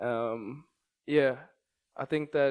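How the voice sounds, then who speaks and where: A man with a South African accent and monotone, flat intonation on a very clean recording with a silent background. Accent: South African, unchanged. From South Africa, Johannesburg. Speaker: entrepreneur and investor. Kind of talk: interview. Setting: studio.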